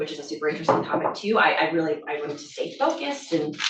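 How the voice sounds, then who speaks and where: A woman with an American accent speaks at a very fast pace, with audible room echo around her. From Pittsburgh, Pennsylvania. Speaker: cancer researcher. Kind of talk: lecture. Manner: casual, filler-heavy.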